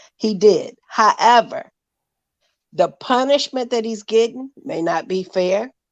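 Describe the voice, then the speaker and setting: A woman's normal speaking voice at a fairly slow pace, with ordinary pitch variation over a quiet background. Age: 60s. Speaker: panel caller. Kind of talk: heated panel discussion.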